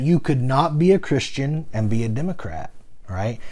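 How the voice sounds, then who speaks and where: The man's voice is somewhat breathy. He speaks at a moderate pace. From US South. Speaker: podcaster, former pastor. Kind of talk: personal storytelling monologue.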